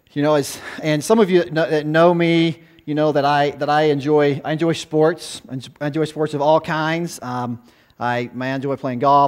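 There is a man speaking at a moderate pace. His intonation is fairly even, and all around him is quiet. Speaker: guest preacher, former youth pastor. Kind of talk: sermon. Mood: warm, conversational, light humor. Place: church.

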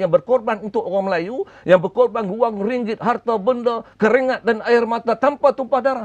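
A man's high-pitched voice at a moderate pace, with ordinary pitch variation, against a quiet background. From Malaysia, Penang; Malaysia. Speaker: politician. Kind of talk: TV talk show interview. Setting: TV studio. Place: studio. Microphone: lapel.

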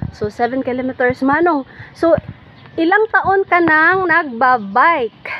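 A woman's high-pitched voice with lively intonation, over light background noise. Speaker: vlogger interviewer. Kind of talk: casual vlog interview questions. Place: garden. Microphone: phone near.

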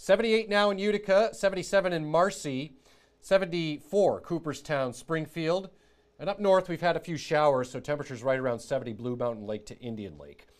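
A man with a normal speaking voice, fairly high in pitch, talks at a moderate pace with lively intonation and big swings in loudness. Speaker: TV meteorologist. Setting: TV studio. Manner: relaxed, friendly, with frequent filler 'uh's; brisk clipped rundown of days and temperatures.

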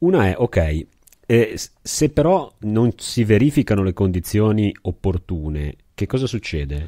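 A man's fairly low, dark and mellow voice with very wide pitch swings at a fairly slow pace, dry and close with no echo, in a very clean recording over a silent background. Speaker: podcast co-host. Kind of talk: casual chat.

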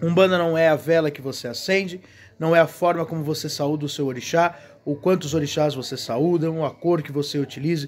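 In a warm tone, a man speaks with a Brazilian accent and fairly even intonation. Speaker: Umbanda religious leader and video host. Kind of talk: sermon-like reflective talk. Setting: video channel, single speaker. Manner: earnest, preachy, repetitive emphasis; measured, warm, pastoral. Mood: earnest, preaching. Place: garden. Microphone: phone near.

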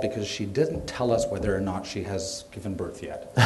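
A man at a moderate pace with ordinary pitch variation, over light background noise. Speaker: gallery host introducing speakers. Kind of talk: event introduction. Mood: light, joking. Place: hall. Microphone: podium.

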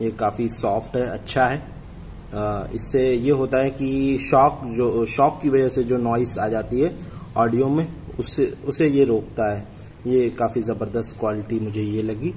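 There is light background noise as a man speaks at a very slow pace. His intonation stays fairly even. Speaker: product reviewer. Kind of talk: unboxing product review. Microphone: phone near.

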